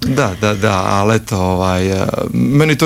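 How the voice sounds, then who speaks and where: A man with a fairly low-pitched voice talks over music in the background. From Croatia, Split (Dalmatia). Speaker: actor and theatre director. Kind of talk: interview.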